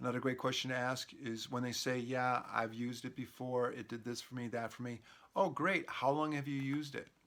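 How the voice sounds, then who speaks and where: Fairly even in intonation, the delivery moves along at a fairly quick pace. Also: man. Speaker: network marketing trainer. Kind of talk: tutorial. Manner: casual; fast.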